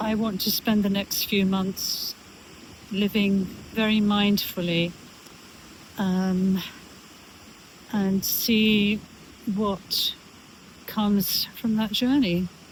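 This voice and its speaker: A woman speaks at a very slow pace with long, frequent pauses, a monotone, flat intonation and very even loudness, over noticeable background noise. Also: medium pitch for a woman. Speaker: lifestyle vlogger. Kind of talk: casual vlog monologue. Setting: outdoors on a beach. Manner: halting, many fillers. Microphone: no microphone, camera mic.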